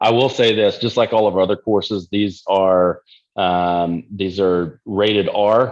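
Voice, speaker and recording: A man speaks in a Texan accent at a fairly slow pace and fairly low pitch. His intonation is fairly even and his loudness very even. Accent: Texan American. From Texas. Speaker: nutrition and fitness coach. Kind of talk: casual chat. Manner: casual, profane.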